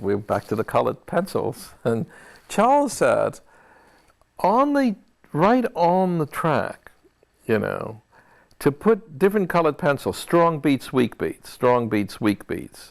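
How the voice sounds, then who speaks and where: A man with a high voice, very wide pitch swings, a fairly slow pace and long, frequent pauses. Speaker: film composer. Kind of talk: interview answer. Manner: conversational, reflective, with hesitations.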